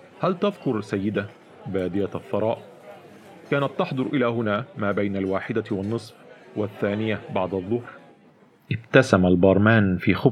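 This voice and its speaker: A man speaks at a moderate pace, his pitch fairly low with ordinary variation. Noticeable background noise runs under the recording. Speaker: audiobook narrator. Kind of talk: literary audiobook reading, first-person narration with character voices. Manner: animated storyteller, shifts tone between narrator and characters.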